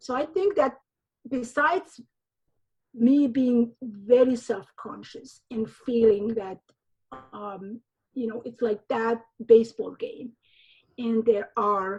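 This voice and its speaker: The speech is very slow, with long, frequent pauses. Loudness rises and falls in big swings. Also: woman, fairly high pitch for a woman, ordinary pitch variation. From Somalia. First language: Somali. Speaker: novelist and high school teacher. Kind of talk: interview conversation. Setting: remote recording from home. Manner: halting.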